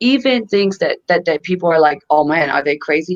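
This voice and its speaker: Her voice is fairly low for a woman. She speaks at a fairly quick pace. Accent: non-native. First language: not English. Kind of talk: casual chat.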